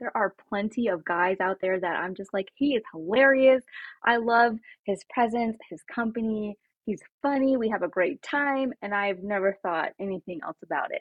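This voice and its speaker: This is an ordinary speaking voice at a moderate pace. Its intonation is lively. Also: woman, fairly high pitch for a woman. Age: 30s. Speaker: podcast guest. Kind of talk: casual chat.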